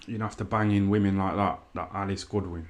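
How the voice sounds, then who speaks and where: A man with an East Midlands accent talks at a moderate pace and a fairly low pitch. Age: 30s. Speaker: YouTuber livestreamer. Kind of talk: casual livestream commentary. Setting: live stream. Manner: animated.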